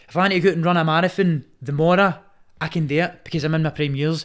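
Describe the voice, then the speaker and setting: A man with a Glaswegian accent talks at a very fast pace in a high pitch. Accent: Glaswegian Scottish. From Scotland. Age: 20s. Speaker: Muay Thai fighter. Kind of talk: casual chat. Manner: animated.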